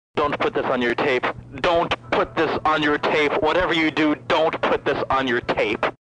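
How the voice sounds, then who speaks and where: A man talks at a moderate pace. Clear music sounds behind him. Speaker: caller. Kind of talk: comedic phone message rambling. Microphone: phone line.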